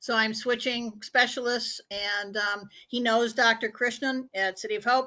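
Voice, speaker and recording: A woman with a Midwestern US accent speaks at a fairly slow pace with hardly any pauses, her fairly high voice held in a monotone, flat intonation. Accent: US Midwest. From US Midwest (Indianapolis, Indiana). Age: 70s. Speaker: support group participant, cancer patient. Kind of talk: casual chat.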